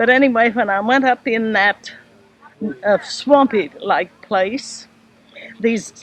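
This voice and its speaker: Speaking at a very slow pace, a woman with an American accent and a fairly high pitch shows ordinary pitch variation over noticeable background noise. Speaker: great-grandmother telling stories and reciting poetry. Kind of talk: casual storytelling at a family gathering.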